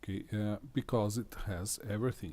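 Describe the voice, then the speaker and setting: Speaking with a non-native accent, a man has a dark, mellow tone that comes across somewhat breathy. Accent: foreign accent, self-noted. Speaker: tech demonstrator. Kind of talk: tutorial. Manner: halting.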